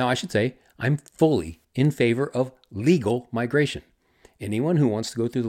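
A man with a Texan accent talks at a very fast pace, his medium pitch carried in lively intonation. The recording is very clean, with a silent background. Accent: Texan American English. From Texas. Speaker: history podcaster. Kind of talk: scripted narration.

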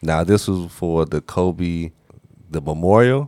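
This man's voice is very deep and low. He talks at a fairly slow speed. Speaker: podcast host. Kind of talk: casual chat. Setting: studio. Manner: quiet.

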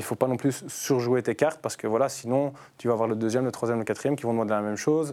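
On a very clean recording with a silent background, a man with a Belgian accent talks very fast at a medium pitch with fairly even intonation. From Brussels, Belgium. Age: 30s. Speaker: footballer and youth team leader. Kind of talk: casual chat.

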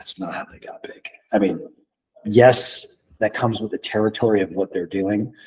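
Loudness rises and falls sharply in this man's voice. His speed stays middling. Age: 30s. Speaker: fitness trainer. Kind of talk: casual chat.

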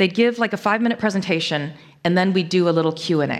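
A woman with an American accent speaks in a normal speaking voice at a fairly quick pace and medium pitch, with lively intonation, in a very clean recording with a silent background. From US Northeast, Connecticut. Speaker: management lecturer. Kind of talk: conference talk.

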